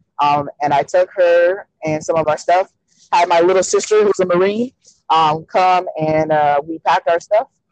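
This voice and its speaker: A woman speaks with an ordinary speaking voice, fairly low-pitched and fairly even in intonation, at a moderate pace. The sound is dry and close with no echo. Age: 30s. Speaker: speaker and advocate for abused women. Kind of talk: interview about personal life.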